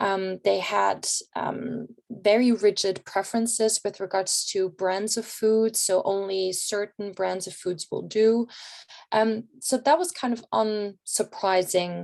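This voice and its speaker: With a German accent, a woman speaks at medium pitch and a very slow pace. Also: fairly even intonation. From Germany. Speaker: researcher. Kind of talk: conference presentation. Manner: many filler words and hesitations.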